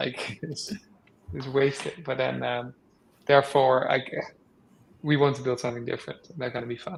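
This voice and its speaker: A man speaks fairly quickly as noticeable background noise runs underneath. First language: not English. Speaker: game developer. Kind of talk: casual panel chat.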